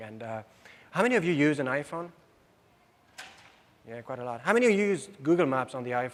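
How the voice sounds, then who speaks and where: A man talks with a French accent. His pace is very fast. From France. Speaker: software system engineer presenter. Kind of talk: conference presentation.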